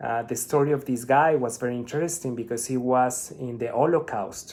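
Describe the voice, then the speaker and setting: A man with a Spanish accent, moderate in pace and fairly even in intonation. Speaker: spiritual vlogger. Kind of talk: casual monologue.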